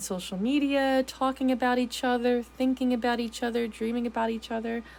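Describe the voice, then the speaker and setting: Noticeable background noise behind a woman with a high pitch, talking at a fairly quick pace. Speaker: tarot reader. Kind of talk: tarot reading. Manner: halting; casual.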